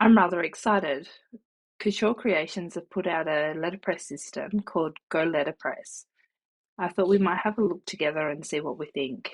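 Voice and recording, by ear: In a croaky put-on character voice, a woman speaks at a fairly low pitch and moderate pace.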